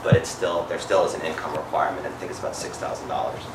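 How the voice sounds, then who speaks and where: A man at a very fast pace, with audible room echo and noticeable background noise. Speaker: healthcare advocate and parent. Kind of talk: seminar talk. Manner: hesitant, many fillers.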